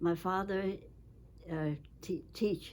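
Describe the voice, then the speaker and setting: Speaking at a very slow pace, a woman uses a fairly low voice. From China. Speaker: retired medical researcher. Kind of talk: interview. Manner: halting.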